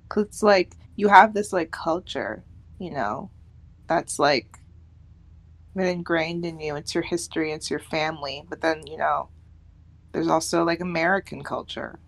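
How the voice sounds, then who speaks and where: In a very clean recording with a silent background, a woman with vocal fry speaks at a fairly low pitch and moderate pace, using ordinary pitch variation and long, frequent pauses. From United States. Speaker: podcast co-host. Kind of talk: casual chat.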